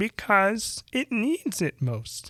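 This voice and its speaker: A put-on character voice, fairly high in pitch, comes through on a very clean recording with a silent background. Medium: read story. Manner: solemn, measured.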